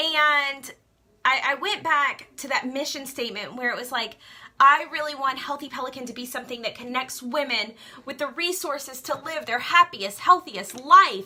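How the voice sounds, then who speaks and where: A woman with a Southern US accent uses a raised, projected voice at a high pitch, with an animated tone, ordinary pitch variation and big swings in loudness, over noticeable background noise. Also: moderate pace. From Louisiana. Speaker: direct sales skincare seller. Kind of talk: Facebook live talk.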